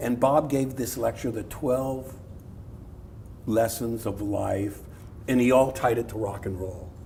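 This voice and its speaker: A man speaks at a medium pitch and a fairly slow pace, with ordinary pitch variation, long, frequent pauses, and audible room echo. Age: 60s. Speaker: art professor. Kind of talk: public talk with audience.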